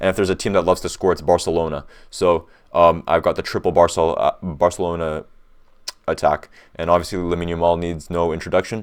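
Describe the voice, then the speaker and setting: A man's very deep, low voice in a flat monotone at a very fast pace, very cleanly recorded against a silent background. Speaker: fantasy football content creator. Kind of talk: casual commentary tutorial. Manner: hesitant, many fillers and restarts; fast, rushed.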